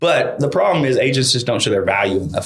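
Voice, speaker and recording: A man with a strong Eastern Kentucky accent. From Eastern Kentucky (Paintsville), US. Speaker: real estate marketing consultant. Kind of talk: casual interview chat. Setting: studio.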